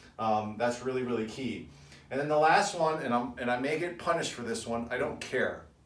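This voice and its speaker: A man talks with lively intonation, and audible room echo surrounds his voice. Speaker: financial advisor. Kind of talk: video update to business owners. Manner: fast; casual.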